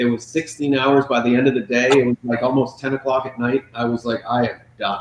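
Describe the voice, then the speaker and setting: Against noticeable background noise, a man at a medium pitch talks at a fairly quick pace with monotone, flat intonation and hardly any pauses. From Prince Edward Island, Canada. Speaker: chef. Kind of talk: casual interview chat.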